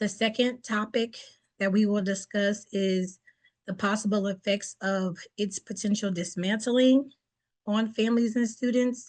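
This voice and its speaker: Somewhat breathy and fairly high-pitched, a woman speaks at a moderate pace with fairly even intonation. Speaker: presenter, federal employee. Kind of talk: webinar presentation. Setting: online webinar.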